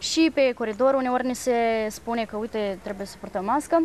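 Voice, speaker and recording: A woman with an unremarkable speaking voice and fairly high pitch talks at a moderate pace with fairly even intonation, the sound dry with no echo and light background noise. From Moldova. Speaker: university student; interviewee. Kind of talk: TV interview. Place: garden.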